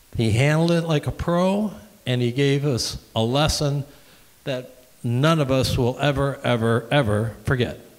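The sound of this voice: A man speaks at a fairly slow pace with a medium pitch. His pitch variation is ordinary.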